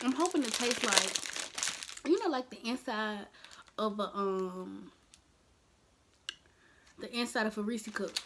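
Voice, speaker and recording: Speaking at a fairly slow pace with long, frequent pauses, a woman uses a fairly high voice with ordinary pitch variation and big swings in loudness over noticeable background noise. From Birmingham. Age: 20s. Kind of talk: casual talk to camera.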